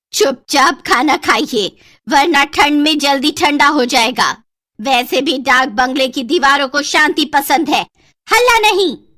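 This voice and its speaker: At a high pitch, a woman puts on a cartoonish character voice and speaks at a fairly slow pace. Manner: curt, cold.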